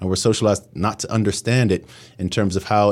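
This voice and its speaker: A man speaks with an American accent at a fairly low pitch and fairly quick pace. His intonation is fairly even, on a very clean recording with a silent background. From New York City. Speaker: professor. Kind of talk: interview.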